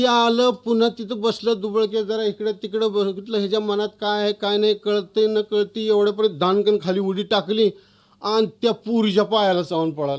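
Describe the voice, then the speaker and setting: With fairly even intonation, a man talks at a high pitch. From Maharashtra. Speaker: author. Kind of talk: storytelling.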